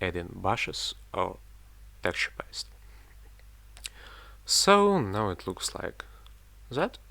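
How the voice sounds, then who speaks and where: Whispering with a non-native accent, a man speaks very slowly with long, frequent pauses. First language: not English. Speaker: miniature painting hobbyist. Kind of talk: tutorial voiceover. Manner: casual, slightly halting.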